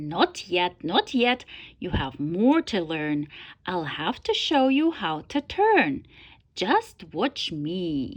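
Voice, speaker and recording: A woman's put-on character voice, medium in pitch and very slow. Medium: read story. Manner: self-assured, lecturing.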